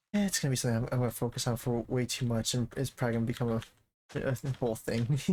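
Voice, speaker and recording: A man's medium-pitched voice at a very fast pace, with ordinary pitch variation and very even loudness. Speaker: gaming streamer. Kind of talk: casual live-stream commentary.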